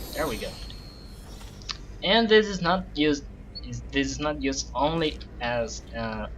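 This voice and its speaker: A man with a non-native accent at a fairly slow pace, with long, frequent pauses. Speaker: game level designer. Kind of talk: casual gameplay commentary.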